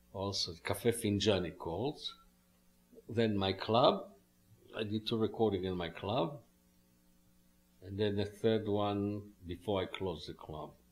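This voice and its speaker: A man's fairly slow, fairly low-pitched speech in a strong non-native accent, fairly even in intonation, with long, frequent pauses. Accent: strong foreign. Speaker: musician and club owner. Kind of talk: interview.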